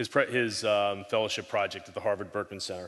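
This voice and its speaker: The speaker has an American accent. The intonation stays fairly even. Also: man. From New York. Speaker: technology strategist. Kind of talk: conference talk. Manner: fast.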